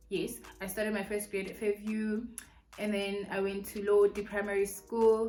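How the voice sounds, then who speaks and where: Noticeable background noise sits under a woman's voice. She speaks at a moderate pace in a medium pitch, her intonation monotone and flat. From South Africa, Mpumalanga and Pretoria. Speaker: beauty and lifestyle YouTuber. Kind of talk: casual Q&A vlog, mukbang.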